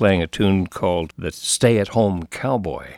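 A man speaks in a plain, everyday voice. It is fairly low and moves at a fairly slow pace. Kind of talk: radio announcer patter, back-announcing tracks and signing off the show.

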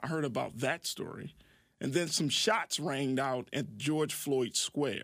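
A man with an ordinary speaking voice talks at a fairly slow pace, pitched fairly high with ordinary pitch variation. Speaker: radio host. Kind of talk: call-in radio talk show. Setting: radio studio.

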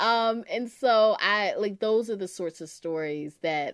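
With an unremarkable speaking voice, a woman talks at a moderate pace with lively intonation. The recording is very clean, with a silent background. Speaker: author and editor. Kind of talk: interview.

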